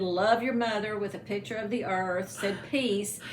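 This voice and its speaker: A woman's fairly high voice with an American accent at a moderate pace, fairly even intonation, audible room echo and noticeable background noise. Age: 60s. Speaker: former band student. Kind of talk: casual chat. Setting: home.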